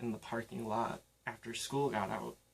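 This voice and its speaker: A man speaks at a medium pitch and a fairly slow pace. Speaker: spoken word poet. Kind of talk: spoken word poetry performance.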